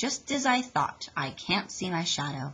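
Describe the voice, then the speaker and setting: Using a put-on character voice, a woman speaks at a moderate pace from a medium pitch with very wide pitch swings. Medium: read story.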